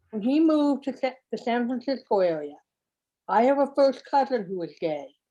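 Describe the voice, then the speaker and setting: A woman speaks at a high pitch with very wide pitch swings. Her tone is dark and mellow, and her pace is moderate. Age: 60s. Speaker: class attendee. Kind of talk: audience comment.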